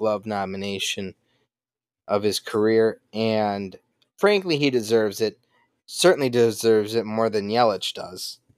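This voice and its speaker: A man at a fairly slow pace and fairly low pitch, with fairly even intonation, in a dry, close sound with no echo and a very clean recording with a silent background. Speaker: podcast host. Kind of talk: angry sports rant. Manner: ranting, heated, passionate.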